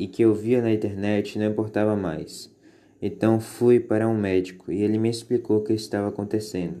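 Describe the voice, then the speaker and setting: This voice has a dark, mellow tone, with monotone, flat intonation at a moderate pace. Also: man. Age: 20s. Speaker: anorexia survivor. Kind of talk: testimony. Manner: scripted, formal.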